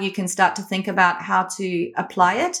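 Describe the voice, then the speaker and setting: A woman with a slight South African accent talks at a moderate pace. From Australia. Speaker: company founder and educator. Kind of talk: interview.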